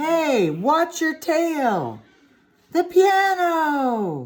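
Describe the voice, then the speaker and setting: A woman's squeaky, put-on character voice, extremely high in pitch. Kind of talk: classroom read-aloud. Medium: read story. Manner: warm, encouraging, conversational.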